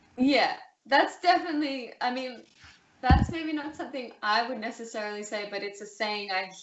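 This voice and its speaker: A woman's fairly high-pitched voice with lively intonation and big swings in loudness, amid audible room echo and noticeable background noise. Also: moderate pace. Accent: Australian. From Australia, city. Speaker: interview guest. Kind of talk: casual interview. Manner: hesitant, many fillers.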